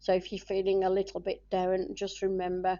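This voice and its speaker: This woman's voice sits at a medium pitch. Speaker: tarot reader. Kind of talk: tarot reading tutorial-style monologue. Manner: hesitant with many fillers.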